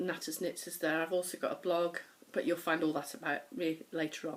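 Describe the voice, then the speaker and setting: A woman with a northern English accent and a fairly low pitch talks in a monotone, flat intonation over noticeable background noise. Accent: mild northern English. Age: 50s. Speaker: knitting podcaster. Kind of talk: casual chat. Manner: fast.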